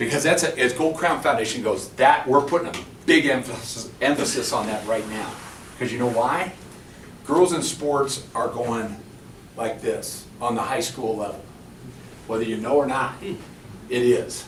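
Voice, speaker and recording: Audible room echo and noticeable background noise, with long, frequent pauses. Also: man, medium pitch for a man, ordinary pitch variation, moderate pace. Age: 60s. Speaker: former pro basketball player and coach. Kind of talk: conference workshop talk. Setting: conference room with audience. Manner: halting, many false starts.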